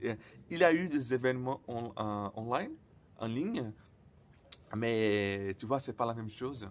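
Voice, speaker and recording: Speaking at a fairly slow pace with long, frequent pauses, a man uses a medium pitch with ordinary pitch variation. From Brazil. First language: Portuguese (speaking French). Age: 20s. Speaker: person who stutters sharing experience. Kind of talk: personal vlog. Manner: stuttering; halting, many fillers and repetitions.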